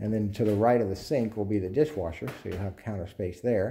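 A man's fairly low, somewhat breathy voice with a dark, mellow tone, ordinary pitch variation and a moderate pace, over light background noise. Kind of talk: walkthrough narration. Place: home room. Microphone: phone near.

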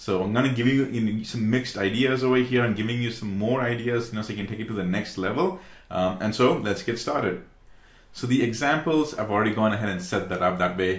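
The speech comes at a very fast pace. Room echo can be heard throughout. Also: man. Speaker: tech tutorial creator. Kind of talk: tutorial. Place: home room.

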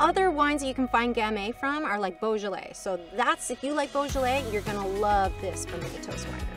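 A woman speaks at a fairly quick pace with hardly any pauses. Music plays clearly in the background, and the sound is dry with no echo. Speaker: wine expert host. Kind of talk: tutorial. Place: open country.

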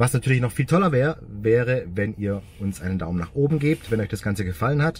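A man speaks at a moderate pace with lively intonation and a somewhat breathy voice. The sound is dry with no echo, with light background noise. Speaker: car vlogger. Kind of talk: casual vlog chat. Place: car. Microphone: phone near.

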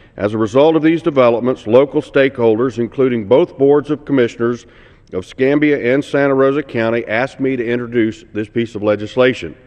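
The speaker has an American accent and talks at a fairly quick pace with ordinary pitch variation. The background is quiet. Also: man. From Florida, USA. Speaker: congressman, member of the House. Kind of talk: formal House floor speech. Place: hall. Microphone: podium.

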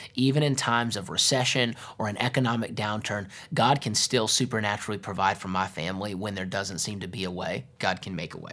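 Hardly pausing, a man talks at a very fast pace in a fairly low voice. His tone is bright and sharp, with ordinary pitch variation. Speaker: pastor teaching. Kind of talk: Bible teaching. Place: studio.

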